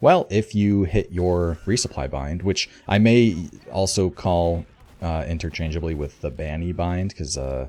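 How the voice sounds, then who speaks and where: A man with a very deep, low pitch and a dark, mellow tone speaks fairly slowly with ordinary pitch variation on a very clean recording with a silent background. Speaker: gaming video creator. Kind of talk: casual explainer commentary. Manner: hesitant with frequent fillers.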